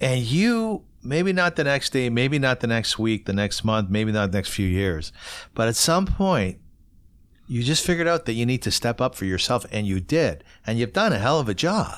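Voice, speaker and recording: A man speaks at a moderate pace and medium pitch, his pitch swinging very widely while his loudness stays very even. The recording is very clean, with a silent background. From Ontario, Canada. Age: 50s. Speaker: podcast host. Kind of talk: casual interview. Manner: animated.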